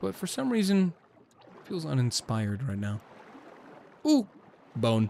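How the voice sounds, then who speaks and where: Pitch swings very widely and loudness shifts in big swings, with long, frequent pauses at a fairly slow pace. Noticeable background noise sits behind the speech. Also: man, medium pitch for a man. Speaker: gaming streamer. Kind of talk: gameplay commentary. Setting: live stream. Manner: casual, chatty.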